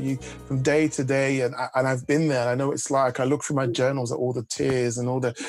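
Clear music plays behind a man who talks fairly quickly. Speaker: executive coach. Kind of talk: interview answer. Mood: warm, reflective. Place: home room. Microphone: video call.

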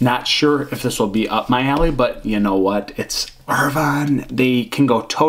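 Over light background noise, a man speaks at a moderate pace with ordinary pitch variation. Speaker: beer reviewer. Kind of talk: casual vlog chat. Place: home room.

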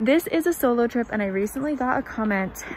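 Over faint background noise, a woman talks at a fairly quick pace with a fairly high pitch and lively intonation.

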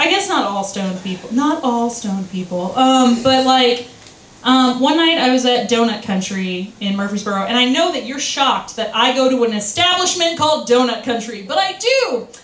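Here a woman speaks at a high pitch and a moderate pace with lively intonation. Audible room echo surrounds her voice. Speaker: stand-up comedian. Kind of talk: open-mic stand-up set, rambling self-deprecating bits with crude punchlines. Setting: stage with audience at a bar open mic. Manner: scattered and giggly, loses her train of thought; halting, filler-heavy delivery full of ums and self-corrections. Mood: self-deprecating, playful. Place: bar.

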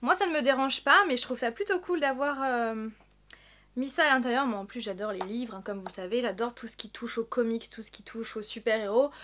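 A woman speaks at a fairly quick pace with a fairly high pitch, a fairly bright tone and ordinary pitch variation.

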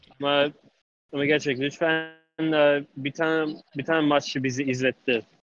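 Fairly high-pitched male voice, monotone and flat, at a moderate pace, faint music in the background, dry sound with no echo. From United States. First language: English (speaking Turkish). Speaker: caller. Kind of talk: casual call-in chat. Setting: call-in. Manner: halting. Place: home room. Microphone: studio mic.

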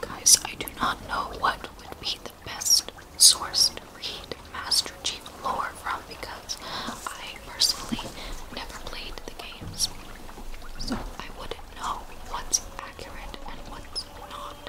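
A woman's very slow, soft-spoken whisper with big swings in loudness over noticeable background noise. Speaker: vlogger. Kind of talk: casual vlog chat. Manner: soft close ASMR whisper. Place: home room. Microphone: webcam.

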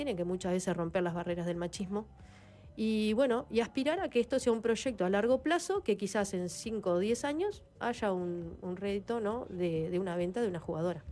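A woman's intonation is lively as she talks at a fairly quick pace. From Uruguay. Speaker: former footballer and coach; coach. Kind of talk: interview. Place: studio. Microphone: studio mic.

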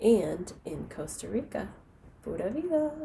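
The speaker has an American accent and a fairly slow pace. The pitch swings very widely over light background noise. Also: woman. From United States. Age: 30s. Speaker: English teacher. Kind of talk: self-introduction to camera. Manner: slow, clear. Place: home room. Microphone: headset.

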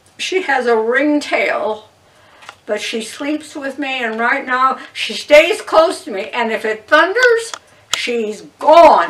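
Very slow delivery with very wide pitch swings over light background noise. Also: woman, high pitch for a woman. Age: 80s+. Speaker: retired piano teacher. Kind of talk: interview answer. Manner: casual storytelling. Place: home room.

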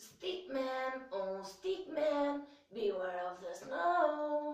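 A high-pitched, put-on character voice at a very slow pace, with slight echo. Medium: read story. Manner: sing-song, warning.

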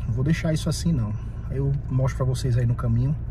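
Light background noise sits behind a man in a dry recording with no echo. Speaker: vlogger. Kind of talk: casual vlog chat. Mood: worried, exasperated. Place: car. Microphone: phone near.

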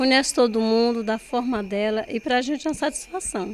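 A woman talks at a moderate pace in a fairly high pitch. Her pitch varies in an ordinary way over light background noise. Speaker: niece or nephew of the centenarian. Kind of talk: interview answer. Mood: warm, proud. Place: home room. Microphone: handheld.

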